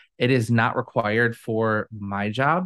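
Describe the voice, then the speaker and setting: Over a quiet background, a man uses an ordinary speaking voice at a medium pitch with fairly even intonation. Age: 30s. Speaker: business consultant. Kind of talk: interview.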